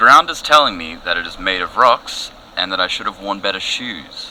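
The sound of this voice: Putting on a character voice, a man speaks at a moderate pace in a low pitch with a bright, sharp tone, lively intonation, and faint background noise.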